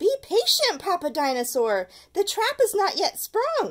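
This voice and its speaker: In a put-on character voice, a woman speaks squeaky and extremely high, raised and projected, with very wide pitch swings at a moderate pace. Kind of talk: children's story read-aloud. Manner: loud, booming.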